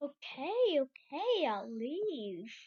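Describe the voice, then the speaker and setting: This is a put-on character voice with a high pitch. The pitch swings very wide. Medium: audio drama. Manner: nervous.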